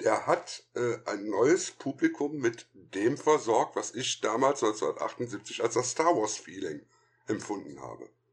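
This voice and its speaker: The background stays quiet. Delivery is at a very slow pace. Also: man. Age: 50s. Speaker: film critic and podcaster. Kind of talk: casual chat.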